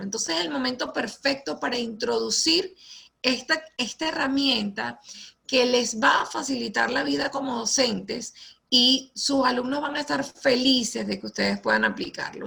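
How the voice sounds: A woman speaks at a high pitch with a bright, sharp tone, a slightly husky edge, vocal fry and lively intonation.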